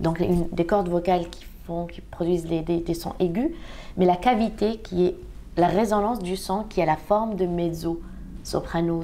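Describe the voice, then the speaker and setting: A woman speaks with a dark, mellow tone and fairly low pitch at a moderate pace. Her intonation is fairly even, and there is audible room echo. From Algeria. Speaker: opera singer. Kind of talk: interview. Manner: halting.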